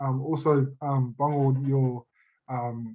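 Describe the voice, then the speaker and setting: A man with an Australian accent speaks at a fairly high pitch in a somewhat breathy voice, with a dark, mellow tone and monotone, flat intonation. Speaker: youth worker, audience member asking a question. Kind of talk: panel Q&A question. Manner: halting, many fillers and restarts.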